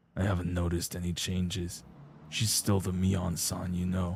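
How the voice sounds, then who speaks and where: A man puts on a raspy character voice with a very deep, low pitch, speaking at a moderate pace in a flat monotone. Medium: game stream. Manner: courteous, calm, lightly teasing.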